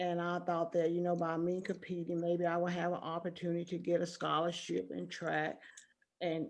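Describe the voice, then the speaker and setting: In an American accent, this is a plain, everyday voice at a moderate pace. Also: woman. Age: 60s. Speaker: retired teacher and former track athlete. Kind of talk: interview.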